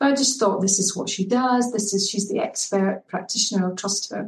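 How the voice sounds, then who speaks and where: A woman speaks at a very fast pace in a Scottish accent. Her voice is somewhat breathy, with fairly even intonation. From Scotland, Edinburgh. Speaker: well-being coach. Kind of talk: podcast interview.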